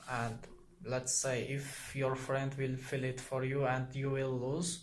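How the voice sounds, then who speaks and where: A medium-pitched man speaking at a very slow pace, with audible room echo. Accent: non-native. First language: not English. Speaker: YouTuber explaining psychology. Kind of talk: casual explainer monologue. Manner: halting, many fillers.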